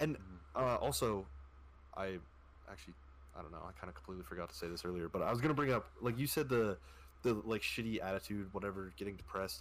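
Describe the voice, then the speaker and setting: A man with vocal fry talks very fast in a fairly low voice, with very wide pitch swings, big swings in loudness and long, frequent pauses. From Canada. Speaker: podcast guest. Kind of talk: casual chat.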